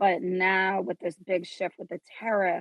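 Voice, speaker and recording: A woman's medium-pitched, normal speaking voice with an American accent, at a fairly slow pace. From New York (Queens, Suffolk County), then New Mexico. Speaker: fashion designer. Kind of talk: podcast interview.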